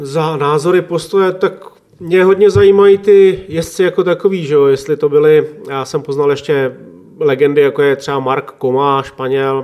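A man with a normal speaking voice talks at a moderate pace, his pitch varying in an ordinary way. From Czech Republic, Klatovy area (West Bohemia). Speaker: motorcycle racing mechanic. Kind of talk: interview. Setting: home kitchen.

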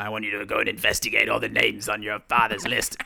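At a very fast pace, a man performs a put-on character voice. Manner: performed character voice.

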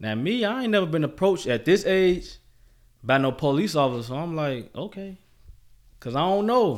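Recorded very cleanly against a silent background, a man with an American accent speaks with very wide pitch swings. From Chicago South Side. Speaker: guest sharing life story. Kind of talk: casual interview.

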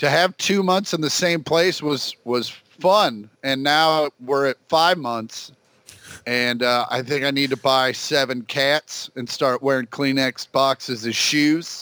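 In a bright, sharp tone, a man with an American accent talks at a very slow pace with ordinary pitch variation, the sound dry and close with no echo. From Kansas City. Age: 40s. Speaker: comedian. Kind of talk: casual chat.

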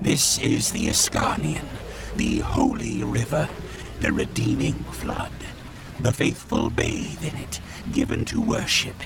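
A man performs a put-on character voice at a fairly slow pace. Loud background noise runs underneath. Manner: clipped, robotic, terse labels.

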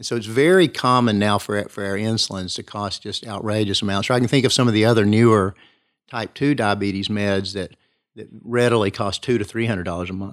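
The recording is very clean, set against a silent background. In it, a man talks fairly quickly at a fairly low pitch. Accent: East Tennessee. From East Tennessee, Kingsport. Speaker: family physician. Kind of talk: interview.

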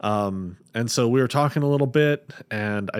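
A man with an unremarkable speaking voice talks in a medium pitch with lively intonation. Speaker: podcast host and game master. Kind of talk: casual chat.

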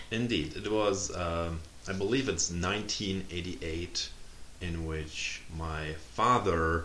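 A man with a German accent speaks very slowly in a very deep, low voice with a bright, sharp tone. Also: ordinary pitch variation. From Germany. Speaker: PhD student. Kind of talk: casual interview.

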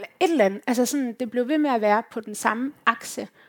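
An ordinary speaking voice from a woman, fairly high in pitch with ordinary pitch variation, at a moderate pace on a very clean recording with a silent background. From Denmark, Herning (West Jutland). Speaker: youth organisation leader and activist. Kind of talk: live panel conversation.

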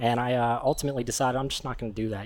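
This is a man's voice at medium pitch. His intonation is fairly even. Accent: American. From Pittsburgh, Pennsylvania. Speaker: attorney. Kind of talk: interview. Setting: live recording at a venue.

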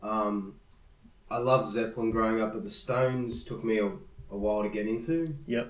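A medium-pitched man with an Australian accent, at a moderate pace with ordinary pitch variation, over noticeable background noise. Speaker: musician. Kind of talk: casual interview chat.

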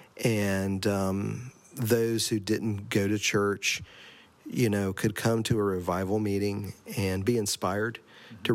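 A man speaks slowly-ish with a Southern US accent, his pitch fairly low and his intonation fairly even. The recording is very clean, with a silent background. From US South, Asheville, North Carolina. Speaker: church administrator. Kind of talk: interview. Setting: religious camp meeting.

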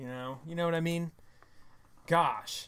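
Here a man speaks at a high pitch and a moderate pace. The recording is very clean, with a silent background. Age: 30s. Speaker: political podcast co-host. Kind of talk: casual chat. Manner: animated.

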